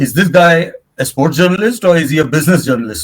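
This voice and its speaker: A somewhat breathy man at a fairly quick pace. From India. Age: 70s. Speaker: sports and business journalist, management consultant, badminton player. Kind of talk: podcast interview.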